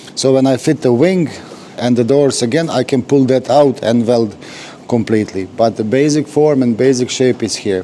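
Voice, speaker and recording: Someone with a non-native accent speaks at a fairly slow pace over noticeable background noise. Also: man. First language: not English. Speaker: car restorer. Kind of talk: workshop tutorial. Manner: halting.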